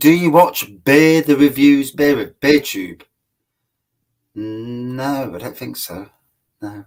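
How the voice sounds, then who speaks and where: A man with an East Midlands accent and a fairly high pitch, lively intonation, a very slow pace, long, frequent pauses and big swings in loudness. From Nottingham, England. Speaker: beer reviewer. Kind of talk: casual chat. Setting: live stream.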